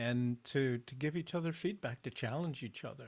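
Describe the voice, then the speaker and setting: This American-accented man talks at a very slow pace. His voice is somewhat breathy, with ordinary pitch variation. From Southern California. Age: 80s+. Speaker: men's group facilitator. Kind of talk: casual conversation. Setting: live stream.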